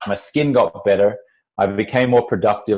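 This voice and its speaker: This is a man speaking with an Australian accent. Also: quiet background. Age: 40s. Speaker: entrepreneur and former TV sports anchor. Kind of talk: podcast interview.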